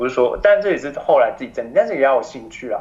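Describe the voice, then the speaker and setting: Noticeable background noise fills the recording. A man is talking. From Taiwan. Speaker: expatriate professional in France. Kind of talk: interview. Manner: animated; halting.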